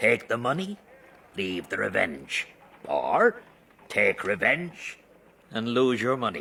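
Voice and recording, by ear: Slowly, a man puts on a character voice with big pitch swings, vocal fry, a slightly husky edge and a bright, sharp tone. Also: fairly low pitch for a man.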